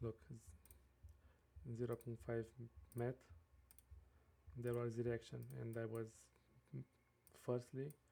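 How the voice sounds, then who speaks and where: A man's dark, mellow voice with a non-native accent, medium in pitch with ordinary variation, at a very slow pace with long, frequent pauses. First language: not English. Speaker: day trader. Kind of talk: screen-share trading tutorial. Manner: halting, many fillers.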